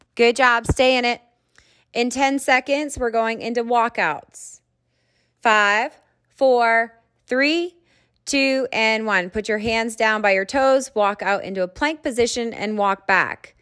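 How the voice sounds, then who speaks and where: A woman speaks at a very slow pace with a bright, sharp tone. The recording is very clean, with a silent background. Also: ordinary pitch variation. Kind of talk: fitness class instruction. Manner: upbeat, encouraging, commanding.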